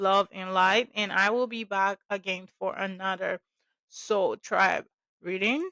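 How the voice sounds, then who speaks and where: A woman speaks at a very slow pace with a medium-pitched voice and fairly even intonation. The recording is very clean, with a silent background and a dry, close sound with no echo. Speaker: spiritual video creator, oracle card reader. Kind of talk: casual spiritual talk to camera. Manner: halting, stumbling over words.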